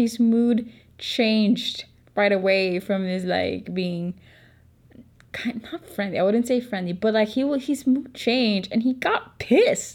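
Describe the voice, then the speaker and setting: A woman speaks at a fairly slow pace in a fairly high, somewhat breathy voice. Her pitch varies an ordinary amount. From Philippines. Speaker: podcaster. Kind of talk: casual storytelling. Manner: animated.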